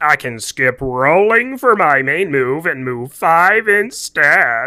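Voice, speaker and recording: A man in a cartoonish character voice speaks at a very slow pace with a fairly high pitch. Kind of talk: cartoon voice acting. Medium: solo performance. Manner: exaggerated, improvised.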